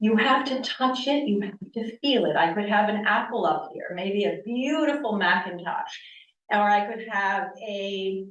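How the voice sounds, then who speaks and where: A woman speaks with an American accent and ordinary pitch variation. Room echo is audible. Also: fairly high pitch for a woman. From US East Coast, Connecticut. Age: 60s. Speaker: yoga teacher. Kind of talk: lecture. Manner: loud; animated.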